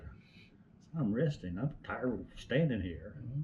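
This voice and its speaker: A somewhat breathy man with an East Tennessee accent and lively intonation. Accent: Southern US (East Tennessee). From East Tennessee, US. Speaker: retired utility lineman. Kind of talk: interview answer.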